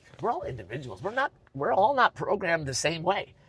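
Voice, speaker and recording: Talking at a very fast pace, a man sounds somewhat breathy, and his pitch swings very widely. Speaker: arena announcer and auctioneer. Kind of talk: interview answer. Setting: inside a car. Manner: energetic.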